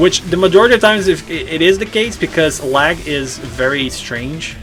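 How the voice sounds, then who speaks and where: Over noticeable background noise, a man with a high voice and lively intonation speaks at a moderate pace. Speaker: gaming YouTuber. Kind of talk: gameplay commentary. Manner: halting.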